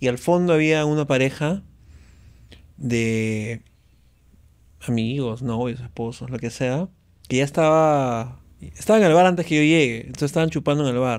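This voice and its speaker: Against a quiet background, a man speaks with ordinary pitch variation and long, frequent pauses. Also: moderate pace. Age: 40s. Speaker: stand-up comedian; podcast guest, comedian. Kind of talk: casual chat. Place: studio. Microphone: studio mic.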